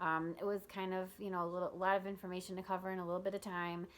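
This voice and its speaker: Using a plain, everyday voice, a woman of medium pitch talks at a fairly quick pace. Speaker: nurse and health vlogger. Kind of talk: casual tutorial to camera. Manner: casual, many fillers.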